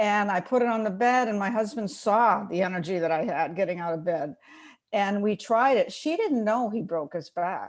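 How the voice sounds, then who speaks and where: With a normal speaking voice, a woman talks at a moderate pace and medium pitch, her intonation lively. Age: 60s. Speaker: product user sharing testimony. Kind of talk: testimony.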